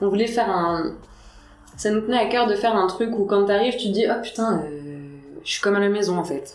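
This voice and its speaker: A woman at medium pitch speaks at a fairly quick pace with ordinary pitch variation and long, frequent pauses, in a room with audible echo and noticeable background noise. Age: 20s. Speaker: tattoo artist. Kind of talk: casual chat. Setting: tattoo studio.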